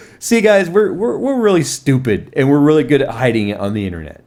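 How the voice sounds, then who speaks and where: Recorded with audible room echo, a man speaks at a fairly high pitch with very wide pitch swings. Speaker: tech YouTuber. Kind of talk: casual chat. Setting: live stream.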